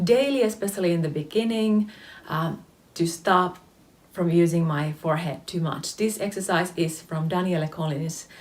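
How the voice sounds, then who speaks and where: A woman speaks with a Finnish accent. Her intonation is lively. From Finland. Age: 30s. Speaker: face yoga teacher. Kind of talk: tutorial. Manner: hesitant, many fillers.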